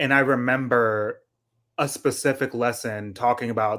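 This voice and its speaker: The recording is very clean, with a silent background. A man speaks in an ordinary speaking voice at medium pitch, with fairly even intonation. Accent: American. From US. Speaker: co-host of a political book discussion stream. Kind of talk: casual discussion.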